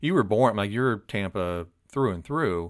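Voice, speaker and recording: In an unremarkable speaking voice, a man with an American accent talks at medium pitch with ordinary pitch variation, in a very clean recording with a silent background. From Florida. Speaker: podcast host. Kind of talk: interview.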